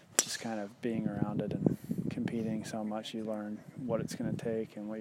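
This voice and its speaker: With an American accent, a man talks fairly quickly at a medium pitch in a monotone, flat intonation, with noticeable background noise. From US South (Georgia). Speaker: professional golfer. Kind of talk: interview.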